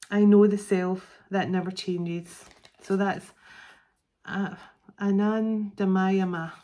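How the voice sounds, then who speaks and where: A woman's very slow speech in a Scottish accent, dark and mellow in tone, medium in pitch, monotone and flat, with long, frequent pauses. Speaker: psychic tarot reader. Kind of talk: tarot card reading. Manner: halting, stumbling over words.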